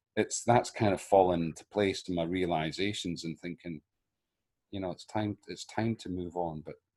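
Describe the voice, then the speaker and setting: A moderate pace with a Scottish accent, fairly even intonation and big swings in loudness. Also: man, very deep, low pitch for a man. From Scotland. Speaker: actor. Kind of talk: casual chat. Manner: halting.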